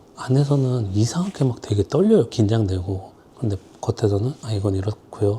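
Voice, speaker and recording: Noticeable background noise sits under the recording. A man speaks at a moderate pace and a fairly low pitch. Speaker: designer. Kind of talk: casual vlog tips. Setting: filming alone. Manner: speeds up when nervous.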